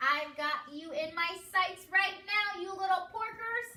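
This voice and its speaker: A squeaky, cackling put-on character voice at a fairly slow pace. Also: woman, extremely high pitch for a woman. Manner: cackling, gleeful.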